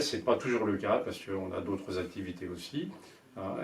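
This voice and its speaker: A man with a fairly low pitch speaks with ordinary pitch variation. Audible room echo and noticeable background noise are present. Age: 70s. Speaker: sailing association board candidate. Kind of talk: candidate self-introduction. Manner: halting, many hesitations.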